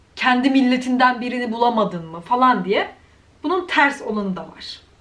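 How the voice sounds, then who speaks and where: Over noticeable background noise, a high-pitched woman speaks in an animated tone. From Turkey. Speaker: YouTuber. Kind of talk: vlog rant.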